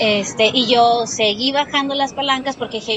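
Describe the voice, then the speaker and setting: A woman's high voice at a fairly quick pace with ordinary pitch variation, over noticeable background noise. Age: 30s. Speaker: metro passenger, harassment witness. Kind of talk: testimony. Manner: halting.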